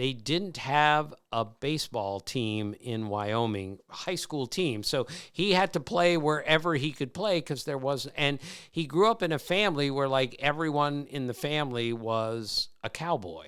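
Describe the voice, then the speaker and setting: A man with an American accent and an ordinary speaking voice talks at a fairly slow pace, his pitch fairly high and his intonation lively, in a very clean recording with a silent background. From Maryland. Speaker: baseball podcast host. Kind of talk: casual podcast talk.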